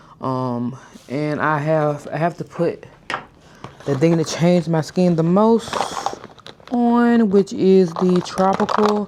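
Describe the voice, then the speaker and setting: Lively in intonation but very slow, a woman with a fairly low voice leaves long, frequent pauses amid noticeable background noise. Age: 30s. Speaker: lifestyle vlogger. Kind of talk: casual vlog talk to camera. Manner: deliberately slowed pace.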